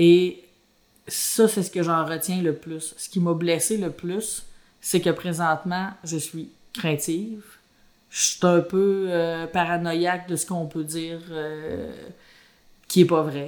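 Speaking at a very slow pace with long, frequent pauses, a woman uses fairly even intonation and a fairly low pitch, with big swings in loudness. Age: 40s. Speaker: former mayor. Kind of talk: testimony.

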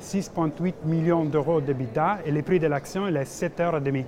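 A man with an Italian accent speaks very slowly in a fairly high pitch with fairly even intonation, over noticeable background noise. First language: Italian (speaking French). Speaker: investor relations manager. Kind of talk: business interview. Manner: halting.

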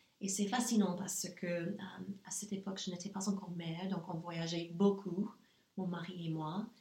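A woman with an English accent speaks at a medium pitch and moderate pace in a flat monotone, with noticeable background noise. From US South, Nashville, Tennessee. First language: English (speaking French). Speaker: entrepreneur. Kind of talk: interview. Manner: halting.

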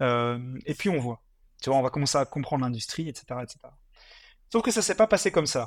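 A man with a normal speaking voice at medium pitch and moderate pace, in a dry, close sound with no echo on a very clean recording with a silent background. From Belgium, Mons (Hainaut). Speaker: fast-food franchise entrepreneur. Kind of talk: interview.

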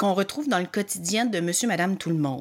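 An enthusiastic-toned woman with a strong Magdalen Islands accent. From Quebec, Magdalen Islands. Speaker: podcast host and helping-relationship practitioner. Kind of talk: podcast introduction monologue. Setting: home studio. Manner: enthusiastic with frequent filler hesitations.

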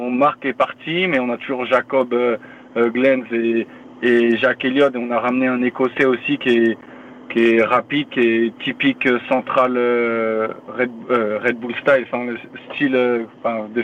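At a very slow pace and medium pitch, a man talks in a monotone, flat way over noticeable background noise. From France, Paris region (Yvelines). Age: 30s. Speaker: professional football defender. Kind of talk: podcast interview.

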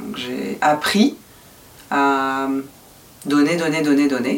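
A woman with a very deep, low pitch talks at a fairly slow pace. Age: 40s. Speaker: podcast guest sharing personal story. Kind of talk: intimate interview.

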